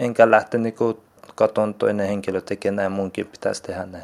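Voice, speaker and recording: This clip features a male speaker. The movement in his pitch is typical. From Afghanistan, raised partly in Iran. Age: 20s. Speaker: vocational student. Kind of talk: interview testimony. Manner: halting.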